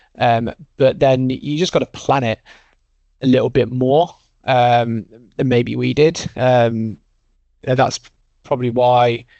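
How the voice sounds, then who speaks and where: In an English accent, a man at medium pitch speaks fairly slowly with fairly even intonation and long, frequent pauses. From English Midlands. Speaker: recruitment business co-founder. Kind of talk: casual interview chat.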